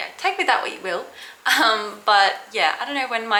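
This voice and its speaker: A woman with an Australian accent, fairly high in pitch, with lively intonation at a moderate pace, audible room echo and noticeable background noise. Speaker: vlogger. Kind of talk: casual chat. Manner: mumbling; halting.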